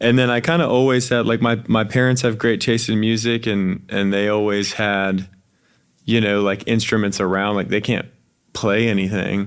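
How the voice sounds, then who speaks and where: A man with a normal speaking voice talks at a moderate pace in a fairly low pitch, keeping very even loudness and fairly even intonation. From Wilmington, North Carolina. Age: 20s. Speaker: musician. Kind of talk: casual chat.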